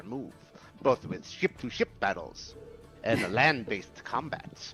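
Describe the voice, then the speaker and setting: A man's put-on character voice at a medium pitch and fairly slow pace, with clear music in the background. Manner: swashbuckling, theatrical.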